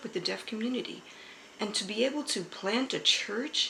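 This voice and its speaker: Lively intonation from a woman with a fairly high pitch. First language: American Sign Language. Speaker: pastor. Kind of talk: interview testimony.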